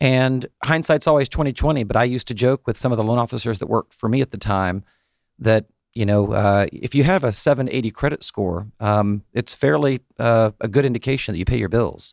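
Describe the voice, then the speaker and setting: Using a plain, everyday voice, a man with an American accent speaks at a fairly quick pace and medium pitch with ordinary pitch variation, dry and close with no echo on a very clean recording with a silent background. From US South, Atlanta area. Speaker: mortgage banker. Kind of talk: radio interview. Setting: studio.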